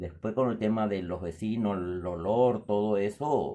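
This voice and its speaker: Ordinary pitch variation marks a dark, mellow tone delivered at a fairly slow pace. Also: man. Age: 60s. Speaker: storyteller. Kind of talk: storytelling. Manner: halting.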